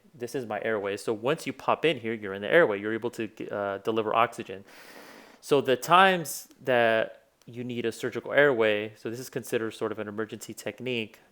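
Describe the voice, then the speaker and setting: Talking at a fairly quick pace, a man with a Spanish accent shows ordinary pitch variation. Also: medium pitch for a man. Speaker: physician. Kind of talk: tutorial. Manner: casual, many fillers.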